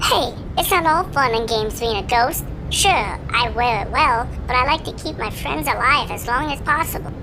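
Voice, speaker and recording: Loud background noise sits under a female-sounding voice doing a put-on character voice at a high pitch. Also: moderate pace. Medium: audio drama. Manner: chirpy, teasing.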